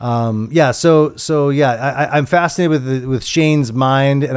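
At a fairly quick pace with hardly any pauses, a man with an unremarkable speaking voice talks in a medium pitch with fairly even intonation. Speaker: returning guest. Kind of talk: casual chat about a film.

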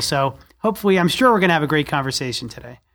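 A man with an American accent, high in pitch, with lively intonation. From New Jersey, Jersey Shore. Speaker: school superintendent. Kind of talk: interview conversation.

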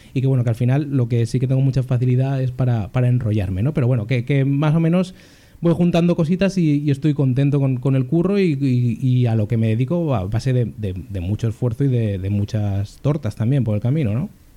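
A man with a dark, mellow tone and medium pitch speaks at a fairly quick pace, with hardly any pauses, lively intonation and very even loudness. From Spain, Zaragoza (Aragon). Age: 20s. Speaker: journalist, podcast co-host. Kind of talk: casual chat.

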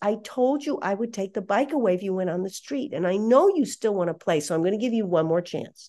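A woman talks at a fairly quick pace with lively intonation. Her tone is dark and mellow. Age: 60s. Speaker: parenting speaker and psychologist. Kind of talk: casual interview chat.

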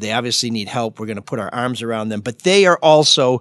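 Sounding animated, a man speaks at a moderate pace and medium pitch. The audio is dry and close with no echo, over a quiet background. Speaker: radio host. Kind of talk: casual chat.

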